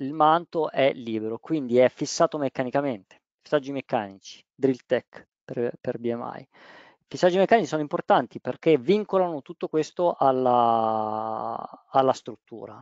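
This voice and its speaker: Here a man talks at a fairly slow pace with lively intonation and medium pitch. The sound is dry and close with no echo, against a quiet background. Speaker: roofing waterproofing project manager. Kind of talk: webinar presentation. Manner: halting.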